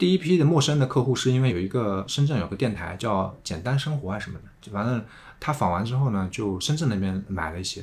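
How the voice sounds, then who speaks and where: A somewhat breathy man at medium pitch, very fast, with very wide pitch swings. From Tongxiang, Zhejiang (Jiangnan countryside). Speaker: returnee silk farmer. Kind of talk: casual interview conversation.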